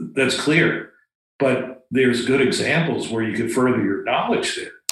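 An unremarkable speaking voice from a man with an American accent, medium in pitch, at a moderate pace with ordinary pitch variation. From Florida. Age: 60s. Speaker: retired pilot and bonsai practitioner. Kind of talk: casual chat.

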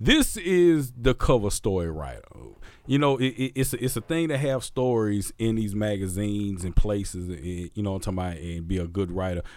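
A man with a Southern US accent speaks fairly quickly at a fairly low pitch, with lively intonation and an animated tone. The recording is very clean with a silent background. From Mississippi, US South. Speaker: podcast host and DJ. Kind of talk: casual chat.

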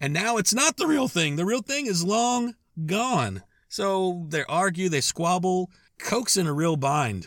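A man with a high pitch and very wide pitch swings speaks at a fairly slow pace on a very clean recording with a silent background. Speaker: podcast host. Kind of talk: scripted-style storytelling monologue. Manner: casual, conversational, wry and humorous; warm, upbeat sign-off.

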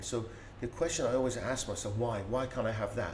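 In a Persian accent, a man talks at a fairly quick pace with a medium pitch. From Iran. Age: 50s. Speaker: business speaker and consultant. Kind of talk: interview conversation.

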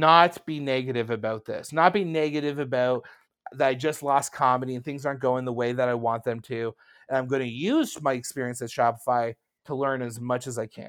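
A man with a Canadian accent. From Canada. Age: 30s. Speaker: comedian and startup founder. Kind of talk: casual chat. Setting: video call. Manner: animated.

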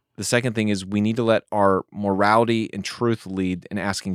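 Fairly even in intonation, a normal speaking voice moves at a moderate pace on a very clean recording with a silent background. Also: man, dry, close sound with no echo. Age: 40s. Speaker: pastor. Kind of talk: casual chat.

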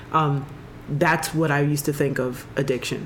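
Noticeable background noise sits behind a woman whose voice is very deep and low. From Jamaica. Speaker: podcast host. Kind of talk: casual chat.

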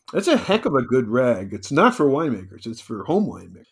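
In an ordinary speaking voice, a man talks at a fairly quick pace and medium pitch with lively intonation. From New Jersey. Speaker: winemaker and wine consultant. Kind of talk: interview.

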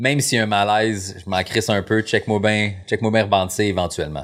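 With an ordinary speaking voice, a man talks at a fairly slow pace and fairly low pitch on a very clean recording with a silent background. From Quebec. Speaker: comedian. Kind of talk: casual chat. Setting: studio.

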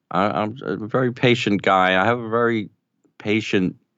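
In a New York accent, the speaker talks at a fairly slow pace. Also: man. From New York City (Brooklyn). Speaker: audio producer. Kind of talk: casual chat.

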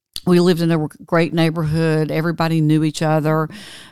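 A woman speaks with a Southern US accent in a very deep, low voice. Her intonation is flat and monotone, and the recording is very clean with a silent background. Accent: Southern US (Georgia). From US South, LaGrange, Georgia. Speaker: tech entrepreneur and bereaved mother. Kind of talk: interview, personal story.

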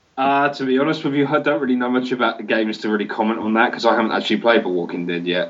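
This man has a British accent and a medium pitch. He talks very fast with ordinary pitch variation and hardly any pauses. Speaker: games journalist. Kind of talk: casual chat.

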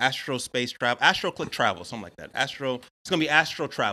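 A man speaks at a medium pitch in an American accent, his tone bright and sharp. The recording is very clean, with a silent background. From Atlanta, US South. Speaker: astrologer. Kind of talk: casual chat.

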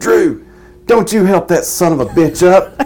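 A man puts on a raspy character voice pitched high. He keeps a moderate pace. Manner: scolding, angry.

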